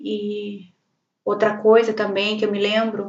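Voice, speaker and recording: A woman is talking. Her pitch lands in the medium range. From Brazil, Paraná. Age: 40s. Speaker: vlogger. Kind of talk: personal life story monologue. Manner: halting.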